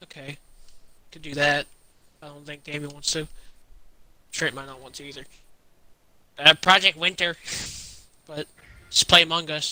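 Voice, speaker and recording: A man speaks with a fairly high pitch, a flat, monotone delivery and a bright, sharp tone. The sound is dry and close with no echo, broken by long, frequent pauses and big swings in loudness. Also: moderate pace. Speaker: tabletop roleplay player. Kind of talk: casual chat.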